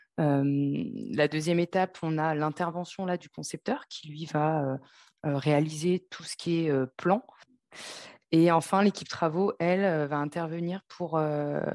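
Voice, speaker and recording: The speech is fairly slow, with fairly even intonation and big swings in loudness. The sound is dry and close with no echo, against a quiet background. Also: woman, very deep, low pitch for a woman. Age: 30s. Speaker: telecom project manager. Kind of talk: interview. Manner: halting, many fillers.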